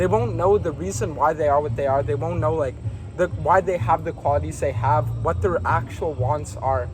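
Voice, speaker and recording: With music in the background, a man talks at a moderate pace and medium pitch. His pitch swings very widely. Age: 20s. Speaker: content creator. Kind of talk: casual interview.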